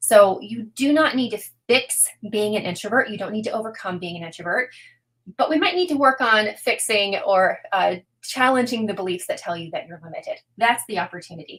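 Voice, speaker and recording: A woman's fairly high, lively voice at a fairly quick pace, with big swings in loudness. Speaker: introvert coach. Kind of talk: live webinar talk. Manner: fast.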